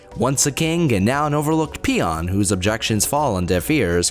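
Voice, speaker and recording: The speaker talks rather quickly. Music is heard behind the voice. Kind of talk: scripted review intro narration.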